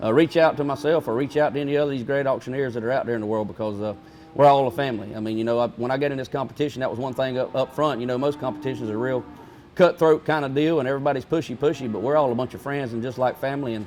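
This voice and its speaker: A man's medium-pitched voice at a very fast pace, fairly even in intonation, over music in the background. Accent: Southern US. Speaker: livestock auctioneer. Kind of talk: interview answer. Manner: casual, halting.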